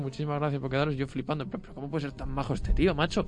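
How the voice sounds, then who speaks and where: Pitched fairly high, a man's voice stays in a monotone, flat intonation. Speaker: university radio host. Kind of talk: casual chat.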